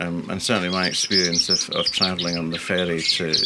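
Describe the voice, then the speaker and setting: Noticeable background noise sits behind a man with a very deep, low pitch. He talks at a fairly quick pace in a monotone, flat intonation. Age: 60s. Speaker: canary breeder. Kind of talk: casual interview chat. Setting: bird room.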